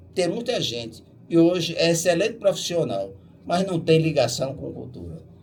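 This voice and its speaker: Fairly high pitch and very wide pitch swings in a man's speech. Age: 80s+. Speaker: musician and bandleader. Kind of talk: radio interview. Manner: emphatic, exhortative.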